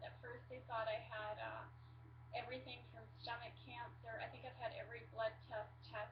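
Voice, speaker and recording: Audible room echo surrounds a woman with a very deep, low pitch. She speaks at a moderate pace in a flat monotone. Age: 40s. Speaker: patient sharing illness story. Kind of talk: personal testimony to webcam. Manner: hesitant, many fillers.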